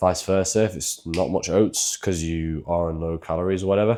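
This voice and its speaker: A man speaks with a very deep, low pitch, a dark, mellow tone and ordinary pitch variation. The recording is very clean, with a silent background. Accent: British. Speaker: fitness coach. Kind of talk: casual cooking tutorial.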